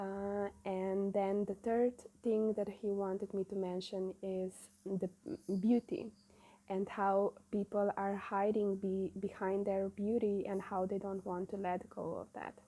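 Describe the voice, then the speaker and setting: Dark and mellow in tone, this voice with a non-native accent speaks at a fairly slow pace in a monotone, flat intonation. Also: woman, medium pitch for a woman. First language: not English. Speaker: spiritual channeler. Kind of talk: spiritual message monologue. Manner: halting, many fillers.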